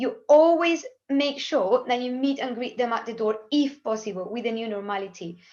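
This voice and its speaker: In a quiet background, a woman with a Spanish accent speaks at a moderate pace, her high voice showing ordinary pitch variation. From Spain, Cádiz. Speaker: language teacher. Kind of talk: webinar presentation. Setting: video call.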